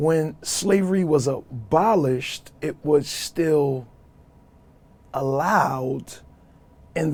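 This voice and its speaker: A man with a Brooklyn accent talks at a fairly high pitch with ordinary pitch variation. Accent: New York (Brooklyn). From New York City (Brooklyn). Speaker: social worker. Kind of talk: podcast interview.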